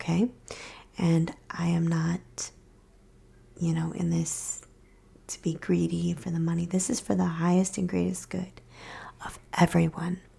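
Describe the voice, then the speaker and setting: This soft-spoken voice moves at a fairly slow pace, broken by long, frequent pauses. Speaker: reiki practitioner. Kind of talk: ASMR explanation.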